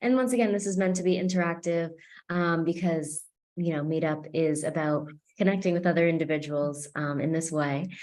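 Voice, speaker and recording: A fairly low-pitched woman at a fairly quick pace, with ordinary pitch variation and audible room echo. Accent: American. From US Northeast, Boston, Massachusetts. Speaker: psychic medium and meetup host. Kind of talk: online group meeting facilitation.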